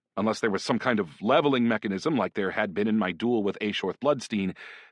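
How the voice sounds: Natural reading voice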